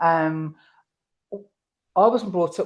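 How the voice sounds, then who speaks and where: A woman's fairly low voice, its intonation fairly even, comes through against a quiet background. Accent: English. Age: 60s. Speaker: horse camp organiser and rider. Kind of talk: interview conversation. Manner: repetitive, hesitant restarts.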